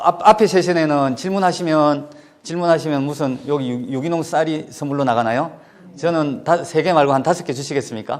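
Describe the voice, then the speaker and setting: With a Gyeongsang accent, a man speaks at a fairly quick pace. His pitch is fairly high, with ordinary variation. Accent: Gyeongsang Korean intonation. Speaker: education official. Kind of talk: lecture. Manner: fast.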